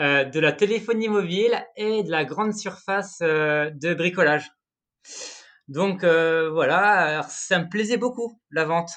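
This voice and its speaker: The background is quiet. The voice moves very slowly, with ordinary variation in pitch. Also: man, high pitch for a man. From northern France, Pas-de-Calais. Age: 30s. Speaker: energy writer, former thermal engineer. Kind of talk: podcast interview. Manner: hesitant, many fillers and repetitions.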